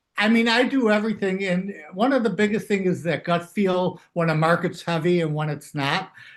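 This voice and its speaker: Hardly pausing at all, a man speaks in a high pitch with ordinary pitch variation. The background is quiet. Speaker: mental math teacher and trader. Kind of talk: interview. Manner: fast.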